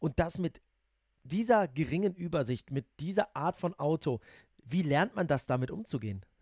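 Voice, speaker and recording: With an unremarkable speaking voice, a man speaks at a moderate pace in a fairly high pitch and with lively intonation. The sound is dry and close, with no echo. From Netherlands. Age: 30s. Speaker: motorsport journalist and podcast host. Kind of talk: casual interview.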